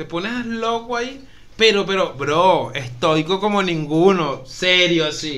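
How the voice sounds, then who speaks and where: Audible room echo follows a man who speaks very slowly at a high pitch with lively intonation. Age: 30s. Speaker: podcast co-host. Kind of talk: casual chat.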